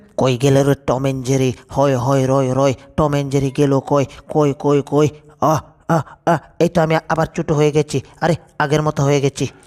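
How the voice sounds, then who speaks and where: In a put-on character voice, the speaker goes at a fairly quick pace with a low-to-middle pitch and monotone, flat intonation. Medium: fan dub. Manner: loud, rustic dialect speech.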